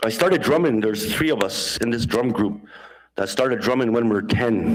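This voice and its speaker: Here a man talks at a fairly quick pace with very even loudness. His pitch varies in an ordinary way. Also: medium pitch for a man. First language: Dene (Denesuline). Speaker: conference speaker and drummer. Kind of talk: conference talk. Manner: halting, many fillers.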